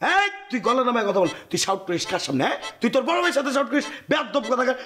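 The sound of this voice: In a put-on character voice, a man races along at a very fast pace with an extremely high pitch, big pitch swings and a bright, sharp tone.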